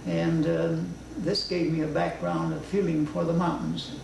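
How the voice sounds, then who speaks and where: Against noticeable background noise, a man with a fairly low voice speaks at a fairly slow pace. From Los Angeles, California, USA. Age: 80s+. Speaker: seed collector, retired landscape gardener. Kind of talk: documentary interview. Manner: hesitant, many fillers.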